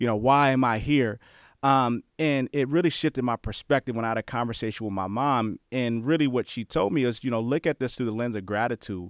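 This man has an unremarkable speaking voice, medium in pitch with ordinary pitch variation and an American accent, moving at a fairly quick pace. The recording is very clean with a silent background and a dry, close sound with no echo. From New Jersey, then Bay Area, California. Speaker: former college football player, player development director. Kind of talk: interview.

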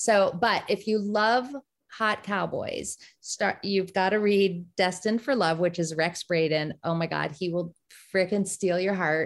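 On a very clean recording with a silent background, a woman with an American accent speaks at medium pitch in an unremarkable speaking voice. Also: ordinary pitch variation, fairly slow pace. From US, Maryland. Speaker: romance author. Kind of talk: casual chat.

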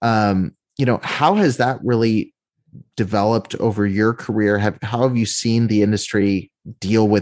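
A man with an ordinary speaking voice, fairly low in pitch, at a moderate pace against a quiet background. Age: 20s. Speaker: podcast host. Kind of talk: interview; scripted intro.

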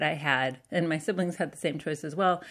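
Over a quiet background, a woman with a normal speaking voice talks at a fairly quick pace in a fairly low pitch with ordinary pitch variation. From US South and Southwest, Canadian family. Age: 40s. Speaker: writer and political organizer. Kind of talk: interview.

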